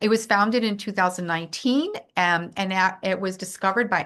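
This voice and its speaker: Over a quiet background, a woman with an American accent speaks at a medium pitch. Her tone is bright and sharp, her intonation fairly even. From Worcester, Massachusetts. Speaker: amphibian conservation volunteer. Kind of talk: online presentation. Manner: halting, many fillers.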